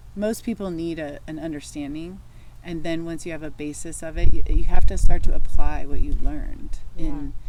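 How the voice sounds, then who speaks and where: A woman speaks at a moderate pace with big swings in loudness over noticeable background noise. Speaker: wellness and spirituality podcast co-host. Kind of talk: casual conversation. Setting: outdoors in the sun. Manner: halting, searching for words.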